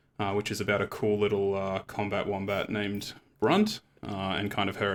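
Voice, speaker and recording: With an Australian accent, a man speaks at a moderate pace in a fairly low pitch. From Tasmania, Australia. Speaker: game developer, panel moderator. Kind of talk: panel discussion.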